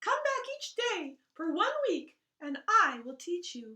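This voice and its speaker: A squeaky put-on character voice at an extremely high pitch, fairly slow, with very wide pitch swings. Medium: read story.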